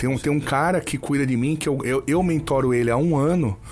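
A man talks at a very fast pace. His fairly high pitch stays in fairly even intonation. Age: 40s. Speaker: brain trainer / coach. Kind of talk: casual interview chat.

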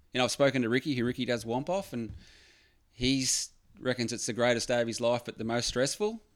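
A man with an Australian accent, medium pitch, ordinary pitch variation and a fairly quick pace, in a very clean recording with a silent background. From Victoria, Australia (Phillip Island). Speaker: surf accessories business owner. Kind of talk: casual chat. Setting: studio.

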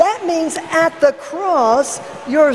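Over noticeable background noise, a woman speaks at a very slow pace with lively intonation. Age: 70s. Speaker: evangelist. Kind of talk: sermon. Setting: church.

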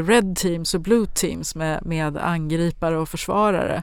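This woman has a fairly low pitch and fairly even intonation. Noticeable background noise runs underneath. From Sundsvall, northern Sweden. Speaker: company CEO. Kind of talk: podcast interview.

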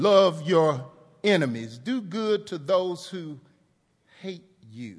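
In a room with audible echo, a man speaks very slowly in a high pitch, with long, frequent pauses, big swings in loudness and lively intonation. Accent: American. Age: 50s. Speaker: pastor. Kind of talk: sermon. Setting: church.

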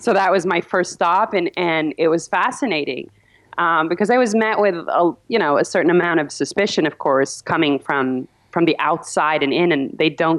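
In a plain, everyday voice, a woman speaks at a moderate pace with fairly low pitch, ordinary pitch variation and very even loudness. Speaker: journalist. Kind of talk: interview.

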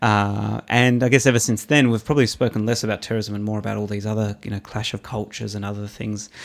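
Hardly pausing at all, a man with an Australian accent rushes at a very fast pace in a fairly low, monotone, flat voice. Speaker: commentator and former youth worker. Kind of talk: casual interview chat. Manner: well-spoken.

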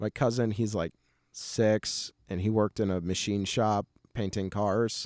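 A man's fairly low, fairly slow voice with an American accent, in a very clean recording with a silent background. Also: dry, close sound with no echo. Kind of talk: casual interview chat. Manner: animated, laughs often.

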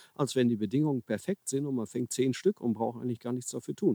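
A man's medium-pitched voice with a dark, mellow tone and a dry, close sound with no echo. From Ruhr area, Germany (Herne). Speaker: carp angler and author. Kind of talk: casual interview. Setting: outdoors by a river.

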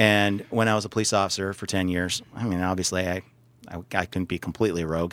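In a very deep, low voice, a man speaks very fast with a monotone, flat delivery. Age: 40s. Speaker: radio host and small business owner. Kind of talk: casual chat.

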